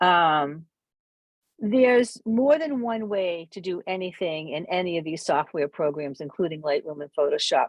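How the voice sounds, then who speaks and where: A woman with fairly low pitch and lively intonation at a moderate pace, the sound dry and close with no echo, the background quiet. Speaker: photography club workshop presenter. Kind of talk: online tutorial. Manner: hesitant, many fillers.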